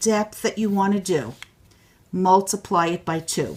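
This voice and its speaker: A woman with a New York accent and a medium pitch. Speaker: crafter demonstrating a tool. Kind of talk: tutorial. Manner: animated.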